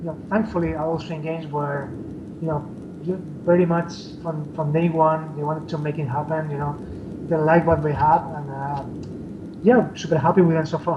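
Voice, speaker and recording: A man with a non-native accent speaks at a moderate pace with a fairly high pitch, monotone, flat intonation and long, frequent pauses. Noticeable background noise and audible room echo fill the recording. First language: not English. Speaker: indie game developer. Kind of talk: interview. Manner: halting, many fillers.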